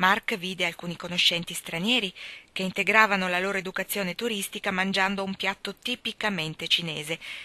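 The text is read aloud. A natural voice does the reading.

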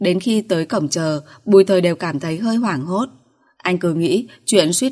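A natural reading voice, pitch shifting by ordinary amounts.

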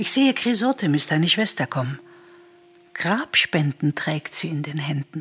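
Using a put-on character voice, a woman speaks low in pitch and at a fairly slow pace, her fairly bright tone carrying a slightly husky edge and big pitch swings.

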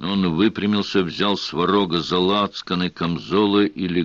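This unforced reading voice keeps its intonation fairly even.

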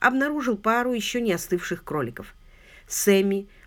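The speaker does plain reading aloud.

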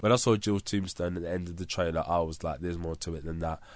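A man speaks with a London accent and a very deep, low pitch. His pitch variation is ordinary. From London, England. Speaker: podcaster. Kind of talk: casual monologue. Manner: chatty.

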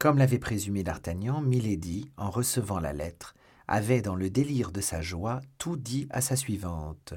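The speaker is reading aloud in a natural voice with lively intonation.

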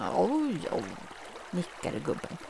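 A woman with lively intonation at a fairly slow pace, over noticeable background noise. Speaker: fairy tale narrator. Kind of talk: fairy tale storytelling.

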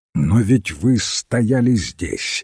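A man puts on a character voice, fairly low in pitch with vocal fry, a husky, rough edge and a slightly mellow tone. He speaks very slowly with lively intonation, in a very clean, dry, close recording with no echo and a silent background.

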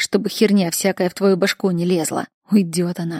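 Quiet surroundings and a natural reading voice

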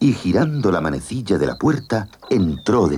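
A text is being read aloud in a natural voice.

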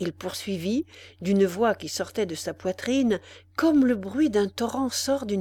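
The recording holds a natural reading voice.

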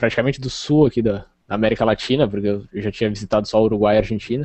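A man talks at a very fast pace and medium pitch. His intonation stays fairly even. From southern Rio Grande do Sul, Brazil (Rio Grande). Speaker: computer science student and open-source contributor. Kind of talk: interview.

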